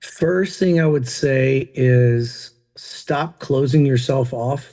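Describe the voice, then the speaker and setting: Against a quiet background, a man with an American accent speaks in a somewhat breathy voice with a dark, mellow tone. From Tennessee. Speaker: country rock singer and entrepreneur. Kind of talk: podcast interview. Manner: casual, many fillers.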